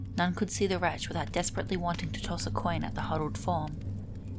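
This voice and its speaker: A soft-spoken woman talks at a fairly quick pace. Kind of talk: soft-spoken ASMR book reading of fantasy lore. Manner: soft-spoken, relaxing.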